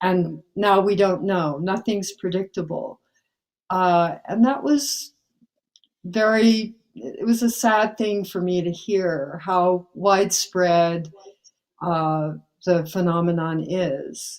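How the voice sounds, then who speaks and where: A woman's medium-pitched voice, very slow, with ordinary pitch variation. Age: 70s. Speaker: climate activist. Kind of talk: interview. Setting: remote call in the middle of the night.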